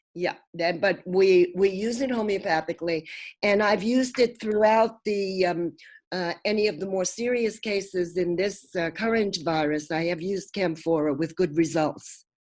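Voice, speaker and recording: With an American accent, a woman speaks at medium pitch and a moderate pace, with ordinary pitch variation. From US Northeast, Brooklyn. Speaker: homeopath and naturopath. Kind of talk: interview.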